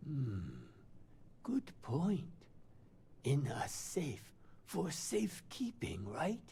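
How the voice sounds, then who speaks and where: In a put-on character voice, a man talks at a fairly high pitch and a very slow pace, his pitch swinging very widely, with long, frequent pauses and clear background noise. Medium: video game. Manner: hesitant, wondering.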